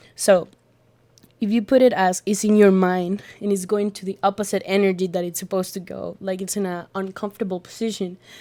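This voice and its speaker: A woman with a Spanish accent speaks at a fairly quick pace in a medium pitch, monotone and flat, with big swings in loudness, in a very clean recording with a silent background. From Colombia. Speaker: art student and astrology enthusiast. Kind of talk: casual podcast conversation. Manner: halting with many fillers.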